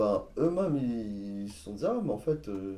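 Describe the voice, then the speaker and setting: Slow-paced and fairly low-pitched, a man speaks in a dark, mellow tone. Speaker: sound engineer and entrepreneur. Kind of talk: casual chat.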